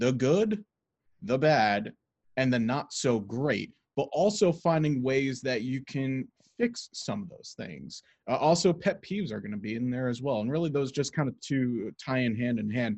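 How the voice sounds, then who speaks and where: Against a quiet background, a man in a normal speaking voice talks at a moderate pace and medium pitch with lively intonation. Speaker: sports broadcasting podcast host. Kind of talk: casual podcast conversation.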